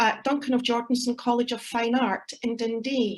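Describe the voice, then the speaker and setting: Her pitch high, a woman speaks at a fairly slow pace with a Scottish accent. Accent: Scottish (Ayrshire). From Scotland, Ayrshire. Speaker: academic researcher and poet. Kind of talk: conference presentation.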